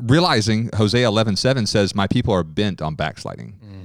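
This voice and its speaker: On a very clean recording with a silent background, a man talks at a moderate pace in an ordinary speaking voice, fairly low in pitch. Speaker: teacher, speaker at event. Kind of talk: sermon-style teaching.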